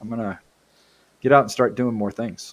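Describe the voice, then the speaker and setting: A man's fairly quick, medium-pitched speech in an ordinary speaking voice. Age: 60s. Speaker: CAD user group organizer. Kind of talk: casual chat.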